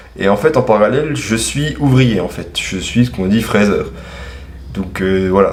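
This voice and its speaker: A man talks at a moderate pace with lively intonation, over noticeable background noise and audible room echo. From eastern France, Franche-Comté. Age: 20s. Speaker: self-published author and machinist. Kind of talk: interview answering read-out questions. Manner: casual, hesitant with fillers.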